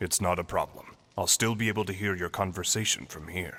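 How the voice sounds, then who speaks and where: The put-on character voice runs at a fairly quick pace with fairly even intonation. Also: man, very deep, low pitch for a man. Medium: video game. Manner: formal, composed.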